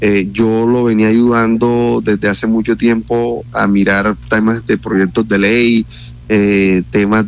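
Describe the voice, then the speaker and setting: A man's fairly low voice at a very slow pace, with ordinary pitch variation and noticeable background noise. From Colombia, Atlántico (Santo Tomás). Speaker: politician and university lecturer. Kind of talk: radio interview. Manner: halting, many repetitions and fillers.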